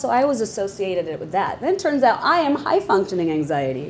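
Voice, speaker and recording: A woman at a very fast pace, very wide pitch swings, and light background noise. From Bangladesh. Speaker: podcast host and moderator; podcast host, moderator. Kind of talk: panel discussion. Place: hall. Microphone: lapel.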